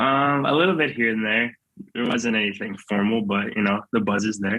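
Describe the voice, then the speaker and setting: An ordinary speaking voice from a man, medium in pitch, with very even loudness, ordinary pitch variation and a moderate pace. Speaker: college football player, draft prospect. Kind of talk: interview.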